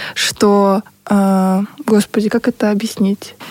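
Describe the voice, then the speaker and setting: A woman's fairly high-pitched voice, an ordinary speaking voice. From Russia, Buryat family. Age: 30s. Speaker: podcast co-host. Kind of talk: casual chat.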